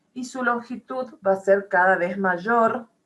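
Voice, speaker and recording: A woman at a very slow pace, medium pitch, with ordinary pitch variation. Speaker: math professor. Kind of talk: lecture.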